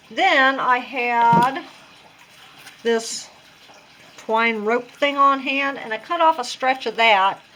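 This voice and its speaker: Over noticeable background noise, a woman with a high pitch speaks at a very slow pace, using ordinary pitch variation and long, frequent pauses. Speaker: craft tutorial vlogger. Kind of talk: tutorial. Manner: casual, conversational.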